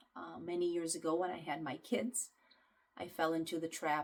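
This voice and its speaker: A woman speaks with a slight Ukrainian accent at a moderate pace. Her pitch sits fairly low. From Ukraine. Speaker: nutrition and health coach. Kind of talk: self-introduction to clients. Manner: casual, with many fillers.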